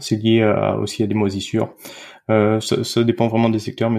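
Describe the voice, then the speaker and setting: A man speaks at a moderate pace in a fairly low pitch with a monotone, flat intonation, on a very clean recording with a silent background. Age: 30s. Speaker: dietitian. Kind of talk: casual interview. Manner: hesitant, many fillers.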